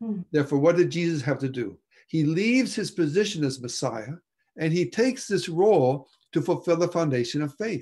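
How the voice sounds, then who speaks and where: With a quiet background, a man's high-pitched voice has a dark, mellow tone, lively intonation and a fairly quick pace. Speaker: presenter. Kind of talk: lecture. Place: home room. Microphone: video call.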